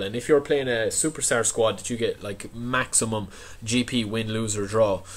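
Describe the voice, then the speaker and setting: With an Irish accent, a man talks at a medium pitch with ordinary pitch variation. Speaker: gaming YouTuber. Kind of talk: casual video commentary.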